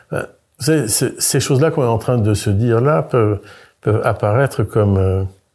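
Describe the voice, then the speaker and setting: Somewhat breathy, a man talks at a fairly slow pace in a dark, mellow tone with lively intonation. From France, Brittany. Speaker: architect. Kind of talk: interview. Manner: halting, with frequent repetitions.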